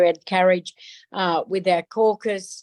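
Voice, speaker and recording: A woman speaks at a moderate pace with a medium pitch and an Australian accent. The recording is very clean with a silent background and a dry, close sound with no echo. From Darwin, Northern Territory, Australia. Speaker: politician, federal member of parliament. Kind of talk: interview answer.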